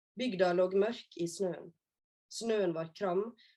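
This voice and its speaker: Speaking at a fairly slow pace, a woman with a medium-pitched, dark, mellow voice keeps her intonation fairly even. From west coast of Norway. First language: Norwegian. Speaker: children's author. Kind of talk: reading aloud; casual talk.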